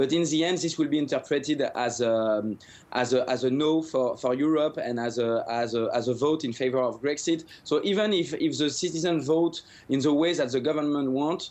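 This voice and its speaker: With a French accent, a man speaks at a moderate pace in a fairly high pitch, with ordinary pitch variation and very even loudness. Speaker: economic commentator. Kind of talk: news interview answer. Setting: remote news link. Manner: hesitant, many fillers.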